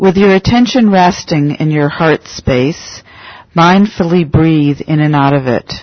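This woman has a very deep, low pitch and a calm, soothing tone. She talks at a fairly slow pace with ordinary pitch variation and very even loudness. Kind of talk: guided meditation. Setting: meditation center talk. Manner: slow, calm, soothing, gentle pacing with long pauses.

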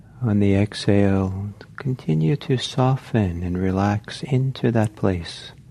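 Against noticeable background noise, a man talks fairly slowly at a fairly low pitch with ordinary variation. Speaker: meditation teacher. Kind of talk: guided meditation, slow spoken prompts to breathe and soften into love. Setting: meditation hall with live group. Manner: soft-spoken, tender and invitational, many hesitations like uh and um.

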